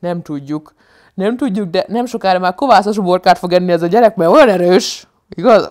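The speaker has an animated tone, ordinary pitch variation and a moderate pace against a quiet background. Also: woman. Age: 30s. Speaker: comedian and vlogger; comedian vlogger. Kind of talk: casual vlog monologue. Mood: humorous, animated storytelling. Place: home room. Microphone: lapel.

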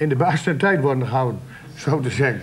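In a Drenthe accent, a man speaks at a fairly quick pace with ordinary pitch variation. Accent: Drents dialect. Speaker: local politician. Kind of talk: TV debate. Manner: blunt, outspoken. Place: studio.

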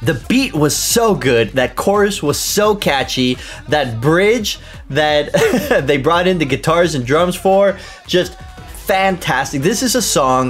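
Faint music is in the background. Over it, a man talks at a fairly slow pace. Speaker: reaction video host. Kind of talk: reaction commentary. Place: home room.

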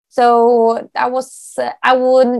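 A woman's fairly high voice with a Norwegian accent, in a dry, close sound with no echo. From Norway. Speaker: dog agility competitor and trainer. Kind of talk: interview answer.

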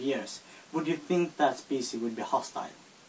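A man's voice with a Swedish accent, ordinary pitch variation and light background noise. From Sweden. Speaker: video responder. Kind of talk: casual talk to camera. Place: home room. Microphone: phone near.

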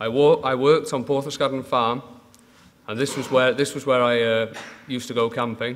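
Over light background noise, a man talks at a fairly quick pace with monotone, flat intonation. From Manchester, northern England; northern England. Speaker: dairy farmer. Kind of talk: conference talk. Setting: stage with audience. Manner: halting. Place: hall. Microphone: podium.

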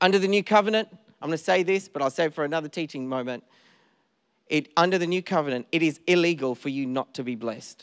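A man with an Australian accent talks at a very fast pace in an animated tone. His pitch varies in an ordinary way, and the background is quiet. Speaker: pastor. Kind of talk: sermon. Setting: church stage with audience. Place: church. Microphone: handheld.

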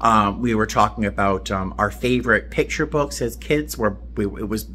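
At a moderate pace, the voice shows vocal fry and very wide pitch swings over light background noise. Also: man. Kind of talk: casual vlog chat. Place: home room. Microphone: phone near.

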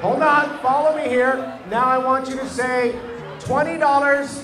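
Moderate-paced speech over clear music in the background. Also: man. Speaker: auctioneer. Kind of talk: event emcee talk to crowd. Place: hall. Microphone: handheld.

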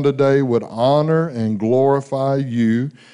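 The background is quiet. A man speaks with a dark, mellow tone. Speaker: pastor making announcements. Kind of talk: church announcements and prayer. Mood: warm, lightly humorous. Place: church. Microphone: handheld.

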